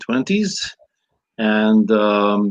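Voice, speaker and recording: A man with a Ukrainian accent speaks. His pitch is fairly low, with ordinary pitch variation. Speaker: priest and scholar. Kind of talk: interview. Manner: halting.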